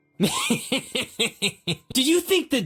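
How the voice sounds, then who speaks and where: The voice is a high-pitched, put-on character voice. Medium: video game. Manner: condescending, sarcastic.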